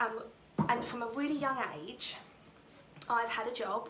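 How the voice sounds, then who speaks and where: Through audible room echo and noticeable background noise, a woman in a Norfolk accent talks at a moderate pace with a fairly high pitch and ordinary pitch variation. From England, Norfolk. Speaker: theatre school owner and direct sales director. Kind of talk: personal testimony talk on a livestream.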